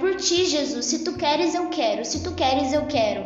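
A woman speaks at an extremely high pitch with ordinary pitch variation. Audible room echo and noticeable background noise surround her voice. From Brazil, Campinas (São Paulo interior). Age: 20s. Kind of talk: casual chat.

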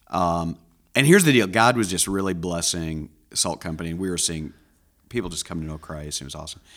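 With big swings in loudness, a man speaks at a very fast pace and a very deep, low pitch, using ordinary pitch variation. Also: very clean recording, silent background. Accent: American. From rural Iowa, US Midwest. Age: 50s. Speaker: pastor. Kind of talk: casual chat.

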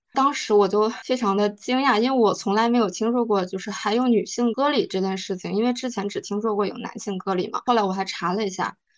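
A woman talks at a fairly quick pace with hardly any pauses. Her pitch is fairly high, and she has an ordinary speaking voice. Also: fairly even intonation. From northeast China. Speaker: book club member. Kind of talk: book review talk.

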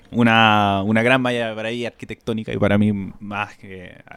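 Monotone, flat male voice at a fairly low pitch, with a dry, close sound and no echo. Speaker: podcast host. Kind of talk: casual chat.

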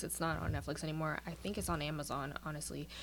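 A woman talks at a very fast pace. She has a New York accent. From Brooklyn, New York. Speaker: aspiring singer and actress. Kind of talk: casual chat.

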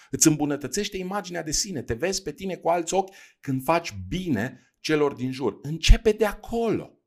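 Lively intonation carries a man's high-pitched voice on a very clean recording with a silent background. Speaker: podcast host, leadership coach. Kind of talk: solo podcast talk on personal development. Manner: hesitant, with fillers and repetitions.

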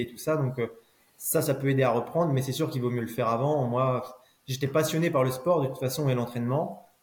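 A man talks in a normal speaking voice. His pitch is medium. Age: 30s. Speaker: former pro cyclist turned cycling coach. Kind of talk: casual interview chat.

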